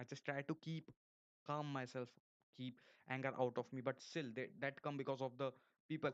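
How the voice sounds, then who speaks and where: Speaking with an Indian accent, a man uses a medium pitch and fairly even intonation at a moderate pace, with long, frequent pauses. The sound is dry and close, with no echo. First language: Hindi. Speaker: YouTuber. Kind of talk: live stream monologue. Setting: live stream. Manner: halting, with many repetitions and false starts.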